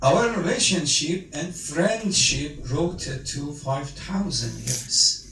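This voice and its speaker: A man's fairly high voice with a Persian accent, very slow, with ordinary pitch variation, audible room echo and noticeable background noise. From Iran. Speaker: Iranian cleric or diplomat speaking at a memorial gathering. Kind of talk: speech at a condolence meeting. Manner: halting.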